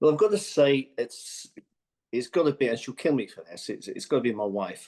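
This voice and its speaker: A man's fairly high voice with a slight Birmingham accent, dark and mellow in tone, at a fairly quick pace, with lively intonation and big swings in loudness. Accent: slight Brummie twang. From English Midlands, Birmingham and Stratford-upon-Avon. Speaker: business manager. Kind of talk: podcast interview. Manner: hesitant, many fillers.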